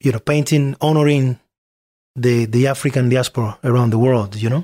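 A man with a Spanish accent speaks at medium pitch with fairly even intonation, the sound dry and close with no echo. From Cuba, Artemisa. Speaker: musician. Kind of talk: interview. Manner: halting.

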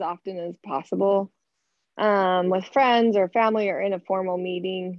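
A normal speaking voice from a woman, medium-pitched and moderately paced. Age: 50s. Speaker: hairdresser, class participant.

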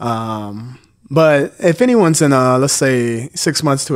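A man speaks at a medium pitch with ordinary pitch variation. The recording is very clean, with a silent background. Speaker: former reality TV contestant. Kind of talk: casual chat.

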